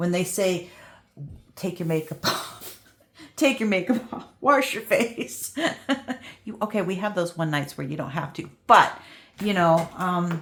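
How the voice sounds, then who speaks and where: A woman of medium pitch talks at a fairly slow pace with lively intonation and long, frequent pauses. Noticeable background noise runs underneath. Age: 60s. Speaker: crafting youtuber. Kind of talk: casual chat. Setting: visiting a friend's house.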